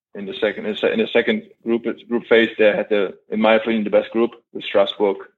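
This is a man speaking. He has a German accent. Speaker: professional basketball player. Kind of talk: interview.

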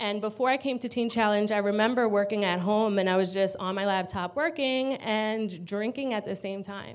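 In a New York accent, a woman speaks at a medium pitch with ordinary pitch variation. The recording is very clean, with a silent background. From Long Island, New York. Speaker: recovery program resident. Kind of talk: testimony. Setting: church with congregation.

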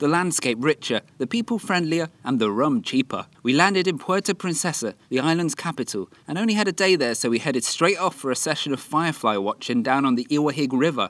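A man with a British accent talks at a fairly quick pace with hardly any pauses, a fairly high pitch and lively intonation, in a very clean recording with a silent background and a dry, close sound with no echo. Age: 20s. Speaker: travel podcaster. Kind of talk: scripted narration. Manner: animated.

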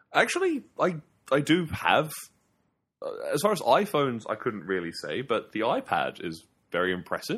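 The speaker keeps a moderate pace. Long pauses come often. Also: man. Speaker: video game podcast co-host. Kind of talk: casual chat. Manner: loud.

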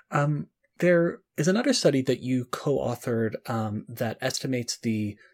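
A man speaks with a somewhat breathy voice. The recording is very clean, with a silent background. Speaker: podcast host. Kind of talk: interview.

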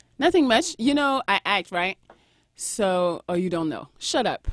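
With a French accent, the speaker's pitch swings very widely between long, frequent pauses, the sound dry and close with no echo. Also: woman. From France. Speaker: podcast co-host and YouTuber. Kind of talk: casual chat.

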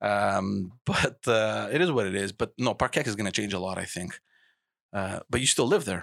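Recorded dry and close with no echo, a man with vocal fry speaks at a fairly low pitch and moderate pace, his pitch varying normally. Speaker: podcast host. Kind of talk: casual chat. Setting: studio.

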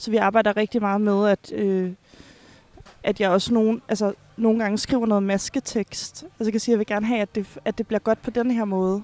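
A woman's dark, mellow tone in a monotone, flat intonation, with a dry, close sound and no echo. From Finland. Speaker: stage director. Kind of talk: casual interview. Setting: busy café. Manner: halting, many fillers.

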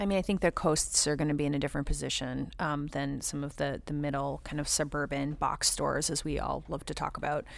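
A woman with an American accent speaks at a very fast pace, with hardly any pauses, in a very deep, low voice with vocal fry and fairly even intonation, on a very clean recording with a silent background. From Southern California. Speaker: marketing agency founder. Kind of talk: panel discussion. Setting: recorded on location at a shopping center.

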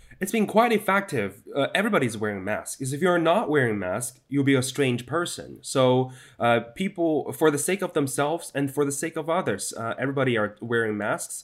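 Fairly high in pitch, a man speaks at a fairly quick pace with hardly any pauses and very wide pitch swings. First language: Chinese. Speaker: news correspondent. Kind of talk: interview. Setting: video call. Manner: hesitant, many fillers.

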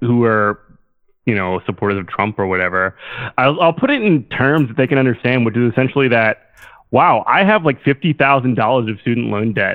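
With lively intonation and a medium pitch, a man talks in a normal speaking voice. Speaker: caller. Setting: phone call.

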